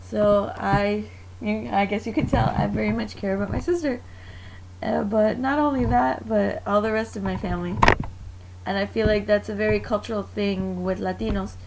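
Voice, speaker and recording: The speaker has an American accent and a moderate pace. Noticeable background noise runs underneath. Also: woman. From Mexican American, US. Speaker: student. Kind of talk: class presentation, personal testimonial. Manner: casual, with fillers.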